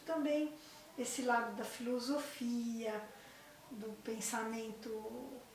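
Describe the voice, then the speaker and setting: Over noticeable background noise and audible room echo, a woman speaks very slowly in a high pitch with fairly even intonation. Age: 60s. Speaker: psychologist. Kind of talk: interview. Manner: halting.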